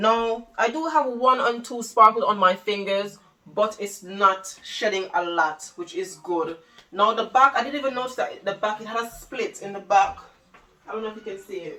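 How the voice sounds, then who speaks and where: Over noticeable background noise, the speaker sounds animated, with lively intonation, a moderate pace and big swings in loudness. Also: woman, fairly high pitch for a woman. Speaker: fashion vlogger. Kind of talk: try-on haul video.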